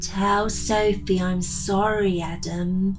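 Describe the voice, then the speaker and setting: Against loud background noise, a woman uses a whiny, put-on character voice at medium pitch and a very slow pace. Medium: read story. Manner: whining.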